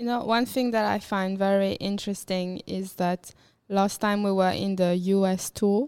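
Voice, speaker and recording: Speaking fairly slowly, a woman with a medium-pitched voice keeps a flat, monotone intonation. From Mauritius. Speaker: musician. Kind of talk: casual chat.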